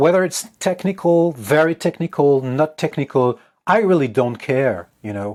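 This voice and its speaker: Speaking slowly and with lively intonation, a man has a French accent. The recording is very clean, with a silent background. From France. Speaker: guitarist and composer. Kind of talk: interview. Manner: halting.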